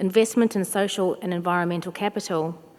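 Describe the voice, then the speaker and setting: A woman with a fairly low voice talks in a flat monotone at a moderate speed. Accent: slight English. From New Zealand, South Auckland. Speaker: chief nurse and health executive. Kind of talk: conference speech. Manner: formal.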